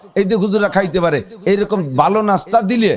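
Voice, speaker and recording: Over noticeable background noise, a man with a high pitch talks in an animated tone with ordinary pitch variation. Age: 50s. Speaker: Islamic preacher. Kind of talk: sermon.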